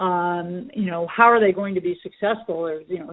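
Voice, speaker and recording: Speaking at a moderate pace, a woman uses an unremarkable speaking voice of medium pitch with ordinary pitch variation. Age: 60s. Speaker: special education lawyer. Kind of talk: interview.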